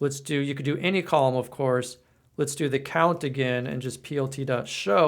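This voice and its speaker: A man's plain, everyday voice at medium pitch, fairly quick, with fairly even intonation. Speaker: coding instructor and author. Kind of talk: tutorial. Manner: casual, with fillers.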